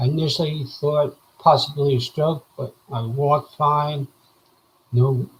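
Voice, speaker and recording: A man's fairly high, somewhat breathy voice at a fairly slow pace, with fairly even intonation. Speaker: vlogger sharing medical recovery. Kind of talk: casual video update. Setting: live video. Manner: hesitant, with frequent fillers.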